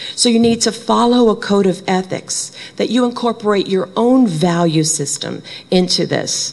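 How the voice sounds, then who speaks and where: A woman with a Brooklyn accent talks at a moderate pace, her pitch medium and her intonation lively. Noticeable background noise runs behind her. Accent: Brooklyn New York. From Brooklyn, New York. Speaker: conference speaker; bereavement trainer. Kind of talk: conference talk. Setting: stage with audience.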